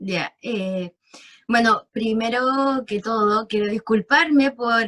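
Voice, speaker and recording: With a Chilean accent, a woman talks at a very slow pace in a fairly high pitch with ordinary variation. The sound is dry and close, with no echo. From central Chile, Valparaíso region interior. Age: 20s. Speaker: clinical lab technician, interviewee. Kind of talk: casual interview. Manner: hesitant, many fillers.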